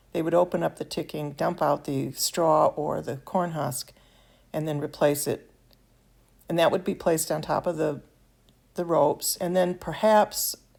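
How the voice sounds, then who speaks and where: A woman with an American accent speaks at a moderate pace, her very deep, low voice carrying vocal fry and fairly even intonation. She leaves long, frequent pauses, and the recording is very clean with a silent background. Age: 70s. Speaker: miniature craft hobbyist. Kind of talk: tutorial. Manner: halting, with fillers.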